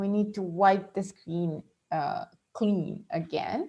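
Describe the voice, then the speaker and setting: Speaking at a very slow pace, a woman talks with a non-native accent. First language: not English. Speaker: astrologer. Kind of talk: monthly horoscope talk. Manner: halting, many fillers.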